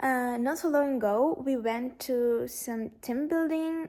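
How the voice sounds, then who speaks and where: Speaking very slowly, a woman with a Russian accent has a dark, mellow tone. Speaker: lifestyle vlogger. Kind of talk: casual chat. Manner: halting.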